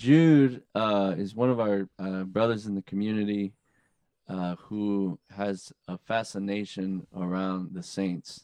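A man's fairly low voice with a Texan accent, dry and close with no echo, over a quiet background. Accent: Texan American. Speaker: podcast host, religious brother. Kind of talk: casual chat. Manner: laid-back, animated.

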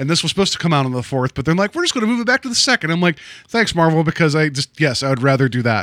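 In a dry, close sound with no echo, a man talks at a very fast pace in a fairly high pitch with very wide pitch swings. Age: 40s. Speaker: podcast host. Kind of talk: casual chat. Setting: studio.

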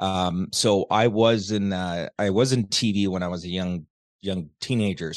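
A man speaks in a fairly low voice against a quiet background. He has a plain, everyday voice. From Canada. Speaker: TV show host and producer. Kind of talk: interview.

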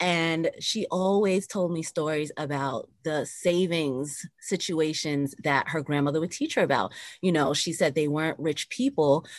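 A woman with an American accent and a very deep, low pitch, ordinary pitch variation and a moderate pace, against a quiet background. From New York area (Bronx, Westchester). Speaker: physician and business owner. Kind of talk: interview conversation.

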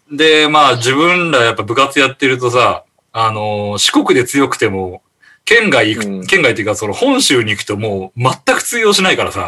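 This man's voice sits at a medium pitch and has a bright, sharp tone. He talks at a moderate pace with lively intonation. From Shikoku, Japan. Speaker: podcast panel regular. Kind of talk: casual chat.

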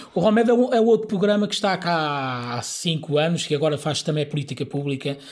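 Speaking in a plain, everyday voice, a man uses fairly high pitch and lively intonation at a moderate pace in a very clean recording with a silent background. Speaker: Roma community activist. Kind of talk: interview.

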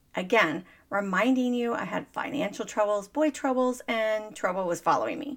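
Here is a normal speaking voice with lively intonation at a moderate pace. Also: woman, fairly high pitch for a woman. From Texas, Dallas. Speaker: business coach and podcast host, Navy veteran. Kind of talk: motivational monologue.

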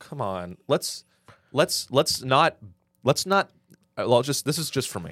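A man speaks at a fairly high pitch with vocal fry, very wide pitch swings, a fairly slow pace and long, frequent pauses. The recording is very clean, with a silent background. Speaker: podcast co-host. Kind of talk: comedic pitchman parody, mock radio-ad sales pitch; casual comedic chat. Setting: studio. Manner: animated, salesy, exaggerated infomercial patter; joking, sarcastic, bantering.

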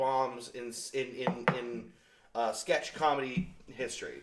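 A man against noticeable background noise. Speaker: podcast co-host. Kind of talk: casual banter podcast.

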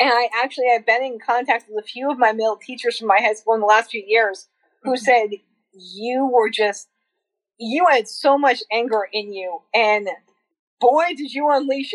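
In a plain, everyday voice, a woman with an American accent talks at a moderate pace, her pitch fairly high with ordinary variation, the sound dry and close with no echo. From US New England, small town. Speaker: social work graduate student and abuse survivor. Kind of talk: personal testimony in interview.

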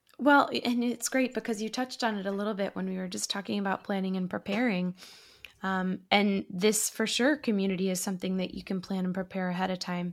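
An unremarkable speaking voice from a woman with an American accent, medium in pitch with ordinary pitch variation, at a fairly quick pace, in a very clean recording with a silent background. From Massachusetts. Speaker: actor and podcast host. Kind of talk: interview conversation.

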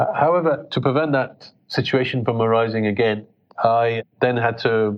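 A man speaks at a fairly slow pace with a British accent. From England (British Pakistani). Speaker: pediatric intensive care doctor. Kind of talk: interview. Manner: halting.

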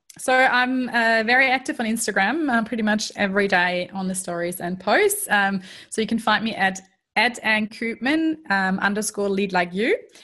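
In a very clean recording with a silent background, a woman with a slight German accent speaks at a moderate pace, her fairly high, bright, sharp voice showing ordinary pitch variation. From Germany. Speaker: strengths coach. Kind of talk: interview.

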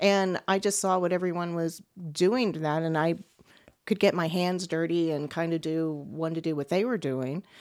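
With an American accent, this is a plain, everyday voice at a moderate pace with ordinary pitch variation, in a very clean recording with a silent background. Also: woman, fairly low pitch for a woman. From Texas (Beaumont). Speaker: film property master. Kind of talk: casual interview chat.

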